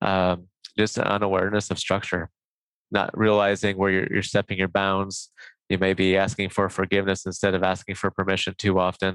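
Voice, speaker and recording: A man with a very deep, low pitch talks at a fairly quick pace in a monotone, flat intonation and very even loudness, dry and close with no echo on a very clean recording with a silent background. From US Midwest, Nebraska. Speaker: professor. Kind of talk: interview.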